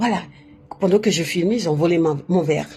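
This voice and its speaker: A woman with a non-native accent amid noticeable background noise. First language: not French (speaking French). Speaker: spiritual livestreamer. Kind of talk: casual live stream monologue. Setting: live on social media. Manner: halting, self-correcting.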